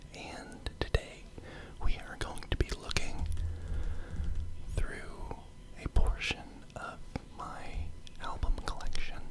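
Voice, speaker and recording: Whispering at a very slow pace, the speaker is heard over noticeable background noise. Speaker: ASMR host. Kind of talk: ASMR whispered record collection show-and-tell. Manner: whispered.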